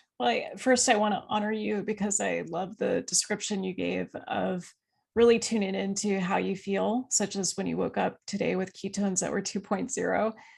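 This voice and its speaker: In a quiet background, a woman's speech proceeds at a moderate pace. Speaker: physician and author. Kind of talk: podcast interview.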